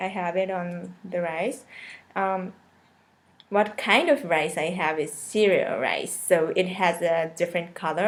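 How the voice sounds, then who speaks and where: Speaking very slowly with ordinary pitch variation, a woman talks in a Japanese accent. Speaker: cooking video creator. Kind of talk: live stream casual chat. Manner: halting, many fillers.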